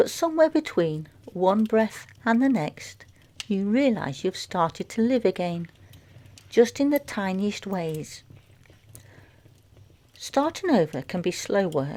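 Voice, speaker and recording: Soft-spoken words from a woman in a gentle, dark, mellow tone, medium in pitch with very wide pitch swings, at a very slow pace with long, frequent pauses. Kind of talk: reflective fireside chat. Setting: crackling fire in background. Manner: soft-spoken, gentle.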